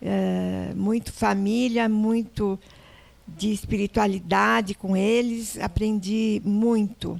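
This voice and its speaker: A woman at a medium pitch speaks very slowly in a monotone, flat intonation with very even loudness. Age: 80s+. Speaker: entrepreneur. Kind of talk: interview. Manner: halting.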